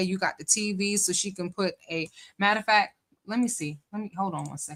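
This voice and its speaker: With a northern US accent, a woman speaks fairly quickly at a medium pitch, her tone animated and her pitch varying in an ordinary way. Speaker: live-stream commentator. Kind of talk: live-stream reaction commentary. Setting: live stream with chat. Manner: casual, animated.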